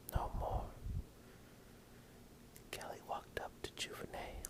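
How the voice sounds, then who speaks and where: A man whispers in a soothing tone over noticeable background noise. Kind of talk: whispered story reading (ASMR). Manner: whispered, soothing.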